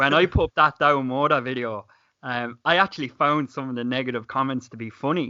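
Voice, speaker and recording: Fairly quick speech from a man at a medium pitch, with ordinary pitch variation. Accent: Irish. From Ireland, County Clare. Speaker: YouTuber. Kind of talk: casual chat.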